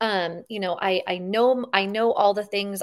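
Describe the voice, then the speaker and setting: A woman speaks at a fairly high pitch. Her intonation is flat and monotone. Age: 40s. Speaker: fitness podcast host. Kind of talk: interview.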